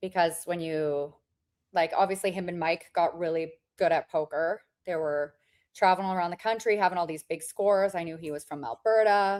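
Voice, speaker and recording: With fairly even intonation and a fairly quick pace, this is a plain, everyday voice. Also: woman, fairly low pitch for a woman. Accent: Canadian. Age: 40s. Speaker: poker player. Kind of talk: casual interview chat.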